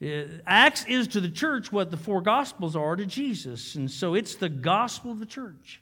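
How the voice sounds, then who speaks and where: A man with a high pitch uses a raised, projected voice and very wide pitch swings in a very clean recording with a silent background. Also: moderate pace, hardly any pauses. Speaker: guest preacher. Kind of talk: sermon. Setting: church. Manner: fervent, repetitive preacher cadence with stammered restarts; folksy, joking, calls for amens from congregation.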